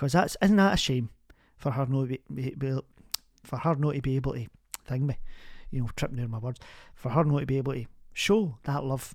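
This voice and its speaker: In a Glaswegian accent, a woman with a very deep, low pitch speaks at a fairly quick pace, leaving long, frequent pauses. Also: ordinary pitch variation. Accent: Glaswegian Scottish. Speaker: community radio advice show host. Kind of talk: phone-in advice show. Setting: studio. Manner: warm, chatty.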